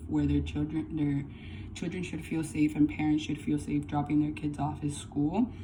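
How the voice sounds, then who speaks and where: Amid noticeable background noise and audible room echo, a woman speaks with a very deep, low pitch and very wide pitch swings. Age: 20s. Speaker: college student. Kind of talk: class speech. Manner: halting.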